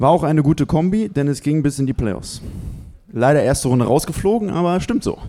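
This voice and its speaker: At a fairly quick pace broken by long, frequent pauses, a man talks with a fairly high pitch and lively intonation. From western Germany (Bonn). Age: 20s. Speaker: basketball player. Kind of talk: reading aloud his CV. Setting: live audience in a restaurant.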